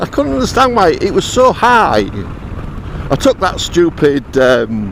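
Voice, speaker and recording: Against noticeable background noise, a man talks at a fairly slow pace in a high voice, his pitch swinging very widely while his loudness stays very even. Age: 70s. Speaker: motorcycle vlogger. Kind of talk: casual vlog monologue. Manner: hesitant, repeats words.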